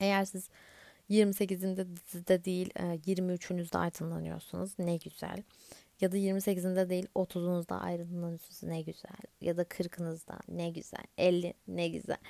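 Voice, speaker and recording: A woman's dark, mellow tone in a monotone, flat intonation at a very slow pace, dry and close with no echo. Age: 20s. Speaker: podcast host. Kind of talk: casual solo podcast monologue.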